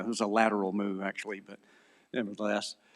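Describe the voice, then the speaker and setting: A man with a Southern US accent speaks at a very fast pace. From US South, Mississippi. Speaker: philosophy lecturer and apologist. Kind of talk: conference lecture.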